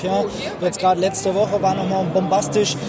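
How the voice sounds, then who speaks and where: A man talks in a high voice over noticeable background noise. Audible room echo surrounds him. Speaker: amputee athlete and peer counsellor. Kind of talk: interview. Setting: trade fair stand.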